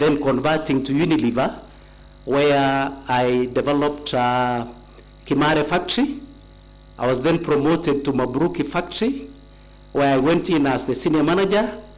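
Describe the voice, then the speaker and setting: Audible room echo, a moderate pace, very even loudness, ordinary pitch variation, and long, frequent pauses. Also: man, fairly high pitch for a man. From Kenya, Kericho county. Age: 60s. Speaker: nominee being vetted, retired tea company manager. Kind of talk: formal testimony at vetting hearing. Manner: formal, with hesitations.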